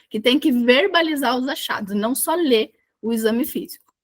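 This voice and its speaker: The voice is raised and projected, with a bright, sharp tone. It moves at a fairly slow pace with ordinary pitch variation. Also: woman. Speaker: medical exam tutor. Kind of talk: online tutorial. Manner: loud.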